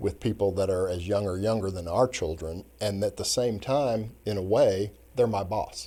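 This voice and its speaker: With an American accent, a man talks at a moderate pace with hardly any pauses, his fairly low voice dark and mellow in tone. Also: ordinary pitch variation. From Kansas City, US Midwest. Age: 60s. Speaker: retired judge. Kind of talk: casual interview chat.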